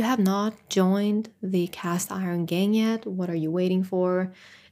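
Against a silent background in a very clean recording, a woman with a non-native accent and a dark, mellow tone speaks at a fairly slow pace with fairly even intonation and hardly any pauses. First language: not English. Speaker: solo podcast host. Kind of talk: casual solo monologue.

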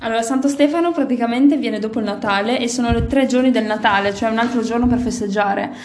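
Over noticeable background noise, a woman talks at a very fast pace with hardly any pauses, her fairly high voice keeping fairly even intonation. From Italy. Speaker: podcast co-host. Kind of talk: casual chat.

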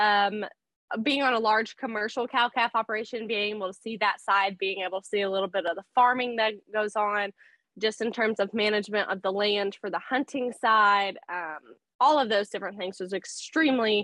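A woman speaks at a fairly high pitch with a bright, sharp tone and fairly even intonation. The sound is dry and close with no echo, the pace fairly quick, and the background quiet. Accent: Texan. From South Texas. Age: 20s. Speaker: small business owner. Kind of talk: interview.

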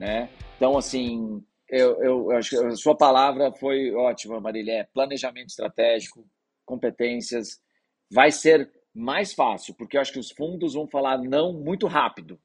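Fairly slow in pace, a man speaks in an unremarkable speaking voice. His pitch is medium, with ordinary pitch variation. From interior of Brazil (raised mostly outside São Paulo city). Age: 40s. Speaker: startup investment executive. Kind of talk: podcast interview.

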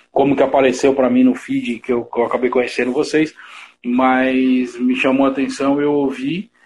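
His voice stays at a medium pitch for a man. The intonation is flat and monotone. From São Paulo, Brazil (east zone). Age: 40s. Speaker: online show host, musician. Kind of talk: casual interview chat. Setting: online live stream.

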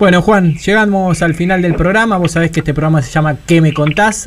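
The man's speech moves at a moderate pace. There is some breathiness to it. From Buenos Aires western suburbs, Argentina. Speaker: radio host. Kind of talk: radio interview. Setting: radio studio.

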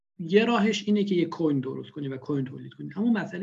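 Dark and mellow in tone, a man's voice shows ordinary pitch variation. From Iran, Khorasan (rural). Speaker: bitcoin enthusiast. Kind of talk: casual interview.

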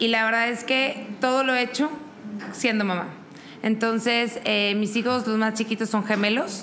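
Fairly even intonation comes through at a fairly slow pace over noticeable background noise. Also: woman. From Mexico, Monterrey. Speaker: event business owner and mother. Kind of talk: interview conversation. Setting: coworking space.

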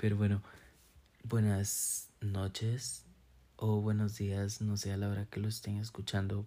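The recording is very clean, with a silent background. A man with a fairly low pitch talks at a fairly slow pace, with fairly even intonation and long, frequent pauses. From Costa Rica, San Carlos. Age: 20s. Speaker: podcast host. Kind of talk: casual monologue. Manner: hesitant, many fillers.

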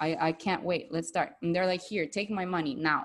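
With a Spanish accent, this voice has a warm, animated tone and lively intonation. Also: woman. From Bolivia. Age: 30s. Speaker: podcast host and yoga and spirituality coach. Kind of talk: interview conversation with intro and outro. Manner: warm, animated, enthusiastic.

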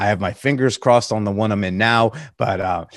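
This man has an ordinary speaking voice at a medium pitch. He talks at a moderate pace. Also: dry, close sound with no echo. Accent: American. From Connecticut, US. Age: 30s. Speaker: podcast host. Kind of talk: casual chat.

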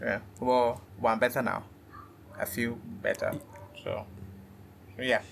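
A man's medium-pitched, monotone, flat delivery at a fairly slow pace, with long, frequent pauses. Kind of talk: casual chat. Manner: dim, subdued tone; halting, repeats words.

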